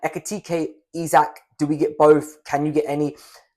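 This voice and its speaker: A man is talking. He has a British accent. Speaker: fantasy football youtuber. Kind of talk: casual talking-head tutorial.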